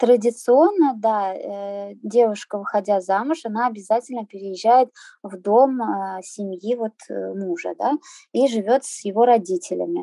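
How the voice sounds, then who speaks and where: The voice has a dark, mellow tone and moves at a fairly slow pace with ordinary pitch variation. Loudness swings widely, and the sound is dry and close with no echo. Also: woman, fairly high pitch for a woman. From Azerbaijan, raised in Russia. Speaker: henna artist living abroad. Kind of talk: interview. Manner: hesitant, many fillers.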